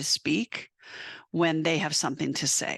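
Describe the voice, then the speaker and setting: A woman with an American accent speaks loudly and fairly quickly in a very deep, low voice with a bright, sharp tone. The sound is dry and close with no echo, over a quiet background. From South Dakota, US. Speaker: veterinary technician and educator. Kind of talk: webinar presentation.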